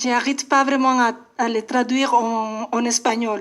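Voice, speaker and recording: A high-pitched woman with a Spanish accent, flat and monotone, at a very slow pace. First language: Spanish (speaking French). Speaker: poet. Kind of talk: radio interview. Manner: halting.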